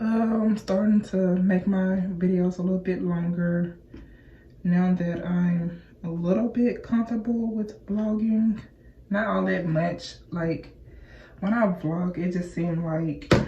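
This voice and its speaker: Her voice is dark and mellow, sitting at medium pitch. The woman sounds somewhat breathy, with fairly even intonation. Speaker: hair and lifestyle vlogger. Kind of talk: casual vlog chat. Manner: casual, halting at times.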